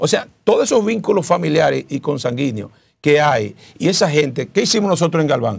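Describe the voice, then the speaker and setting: A man talks at a fairly quick pace in a fairly high pitch with vocal fry. His pitch swings very widely. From Dominican Republic. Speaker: senate pre-candidate, politician; candidate, politician. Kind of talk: interview. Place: studio. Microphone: lapel.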